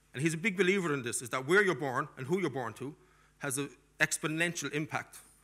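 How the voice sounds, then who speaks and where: A man with a strong Cork accent speaks in a fairly high, bright, sharp voice with an animated tone. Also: long, frequent pauses. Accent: strong Irish (Cork). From Ireland, Cork; Ireland. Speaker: diaspora policy expert and lecturer; conference speaker. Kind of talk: conference keynote lecture; panel discussion. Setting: stage with audience. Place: hall. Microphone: podium.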